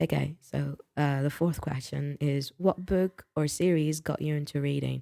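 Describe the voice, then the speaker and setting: The speech moves at a moderate speed. It comes with a British accent. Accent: British-sounding accent learned from BBC. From French-speaking country, not UK. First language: non-English mother tongue. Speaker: booktuber. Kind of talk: casual vlog talk. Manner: halting with many fillers.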